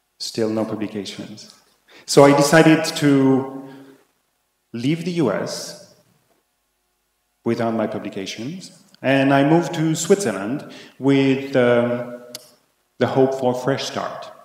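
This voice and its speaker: A man with a French accent talks at a medium pitch and a very slow pace, leaving long, frequent pauses. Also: ordinary pitch variation. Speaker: conference keynote speaker. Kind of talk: keynote talk. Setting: conference, partly virtual audience.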